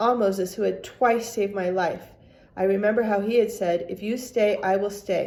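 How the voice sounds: The speaker reads in a natural voice, keeping the intonation fairly even.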